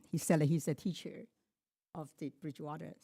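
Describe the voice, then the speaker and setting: A woman talks with a non-native accent. The sound is dry and close with no echo, in a very clean recording with a silent background. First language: not English. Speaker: public commenter. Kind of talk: public comment speech. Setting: public board meeting. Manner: halting.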